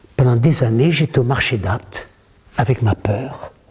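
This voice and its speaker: There is noticeable background noise behind the speaker. He is a man with a medium pitch. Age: 70s. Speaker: author and communication trainer. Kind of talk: workshop talk to an audience. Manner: animated.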